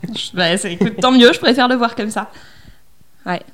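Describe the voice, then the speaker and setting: A woman's talk, in an unremarkable speaking voice, moves at a moderate pace and shows ordinary pitch variation. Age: 20s. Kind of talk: casual interview. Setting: at her home, mid-move.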